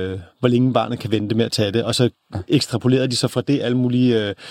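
A man speaks at a very fast pace in a medium pitch with ordinary pitch variation, the sound dry and close with no echo. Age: 30s. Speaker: author and journalist. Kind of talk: interview. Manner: halting.

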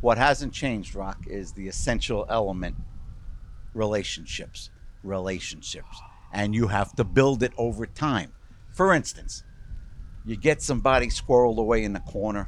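A man with a Brooklyn accent talks at a moderate pace and medium pitch, with ordinary pitch variation and long, frequent pauses. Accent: Brooklyn New York. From New York, Brooklyn. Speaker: sports journalist. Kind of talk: casual interview.

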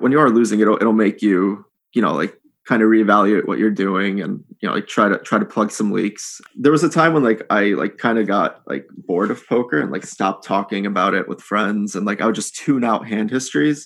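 Against a quiet background, a man with an American accent talks at a fairly quick pace. His pitch is fairly low, with ordinary variation. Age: 30s. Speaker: professional poker player. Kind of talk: casual interview. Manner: hesitant, filler-heavy.

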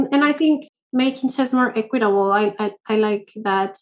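Speaking at a fairly slow pace with ordinary pitch variation, the voice carries a Spanish accent. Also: woman. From Peru. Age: 30s. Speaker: chess master. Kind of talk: interview. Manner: halting, with many fillers.

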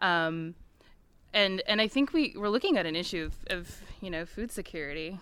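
A woman with an American accent and an ordinary speaking voice, medium in pitch, at a moderate pace, with lively intonation and big swings in loudness. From US Midwest, Missouri. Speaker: nonprofit farm coalition staff. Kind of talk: panel discussion. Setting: conference panel with audience.

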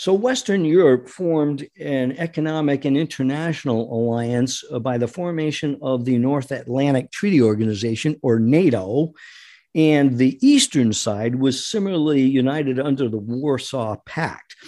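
A man with an American accent speaks at a moderate pace in a fairly high pitch, with a dark, mellow tone and ordinary pitch variation. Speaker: radio host. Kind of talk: interview, conversational.

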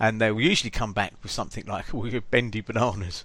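The speaker is a man with an English accent and a medium pitch. He talks at a fairly quick pace with fairly even intonation. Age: 50s. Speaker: podcast host. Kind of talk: casual chat.

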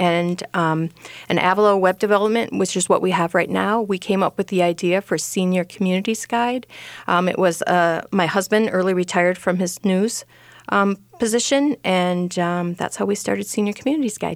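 A woman speaks at a moderate pace with an Upper Midwest accent. Her pitch is medium and its variation ordinary. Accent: Upper Midwest American. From Rochester, Minnesota. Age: 50s. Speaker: senior housing website owner. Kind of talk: radio interview.

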